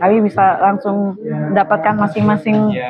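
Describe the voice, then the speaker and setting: A woman speaks at a moderate pace in a medium pitch. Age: 50s. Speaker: parishioner. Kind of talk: vox pop interview. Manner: halting, with fillers.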